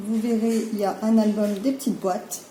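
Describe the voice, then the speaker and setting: Over noticeable background noise and audible room echo, a woman speaks. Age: 30s. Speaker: crafting youtuber. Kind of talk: product presentation. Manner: hesitant, many fillers.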